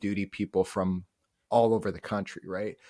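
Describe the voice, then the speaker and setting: Against a quiet background, a man with a strong Upper Midwest accent and a fairly low pitch talks at a moderate pace. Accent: thick upper Midwestern. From North Dakota, upper Midwest US. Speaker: Army National Guard and Reserve soldier. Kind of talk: interview conversation.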